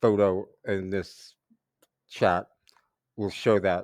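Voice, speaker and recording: On a very clean recording with a silent background, a man with an American accent talks at a very slow pace in a fairly low pitch. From New York (Brooklyn). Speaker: English teacher. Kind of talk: reading aloud for shadowing practice. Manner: clear, deliberate pacing for learners.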